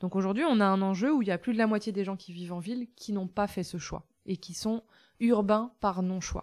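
On a very clean recording with a silent background, a woman uses a normal speaking voice at a medium pitch, moving at a moderate pace with ordinary pitch variation. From France, rural. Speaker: farmer and author. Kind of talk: interview. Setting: in her village café shop.

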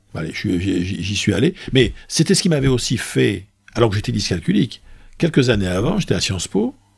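A man's fairly low voice with vocal fry and very wide pitch swings, at a moderate pace. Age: 60s. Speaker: business school professor and public speaker. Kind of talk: casual interview. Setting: office. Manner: hesitant, repeats words.

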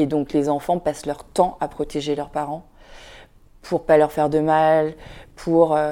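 On a very clean recording with a silent background, a woman with a very deep, low pitch and a dark, mellow tone speaks at a fairly slow pace in a monotone, flat intonation with long, frequent pauses. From France, Vietnamese immigrant family. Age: 40s. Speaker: documentary filmmaker and blogger. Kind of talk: casual interview.

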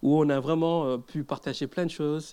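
Against a very clean recording with a silent background, a man speaks at a very slow pace. His pitch is fairly high, with a dark, mellow tone and fairly even intonation. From Mauritius. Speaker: pastor. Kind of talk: sermon.

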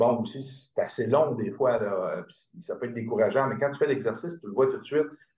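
A man's somewhat breathy, medium-pitched voice at a fairly quick pace, with ordinary pitch variation and big swings in loudness. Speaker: integrative medicine practitioner. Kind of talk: interview.

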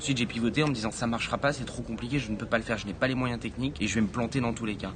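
Talking at a very fast pace with ordinary pitch variation, a man is heard against noticeable background noise. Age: 20s. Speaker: founder of a social impact media outlet. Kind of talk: interview. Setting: live video stream with audience in the room. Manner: halting, many repetitions and fillers.

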